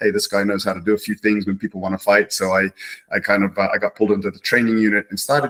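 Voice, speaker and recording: A man speaks very fast with a New Zealand accent, his pitch fairly low. The intonation stays fairly even, and the sound is dry and close with no echo. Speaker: martial arts instructor, retired police officer. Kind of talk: interview. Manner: halting, many fillers.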